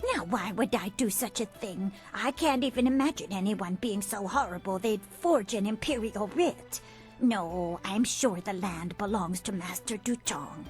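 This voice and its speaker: A woman's put-on character voice at medium pitch, moderate pace and lively intonation, with clear music in the background. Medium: video game. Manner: gentle, rambling.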